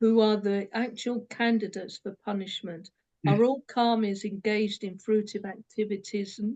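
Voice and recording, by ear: This is reading aloud in a natural voice with fairly even intonation. The background is quiet.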